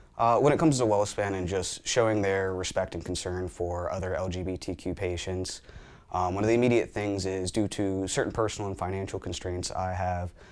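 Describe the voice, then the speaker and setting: A man speaks at a fairly quick pace with a very deep, low pitch. His intonation stays fairly even. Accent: central Pennsylvania. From Hanover, Pennsylvania. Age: 20s. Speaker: patient testimonial speaker. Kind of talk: testimony.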